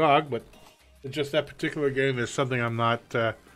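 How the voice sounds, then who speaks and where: Music plays in the background as a man with a Canadian accent talks at a very fast pace and a fairly high pitch. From Canada. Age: 50s. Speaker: gamer streamer. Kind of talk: casual live-stream gameplay talk.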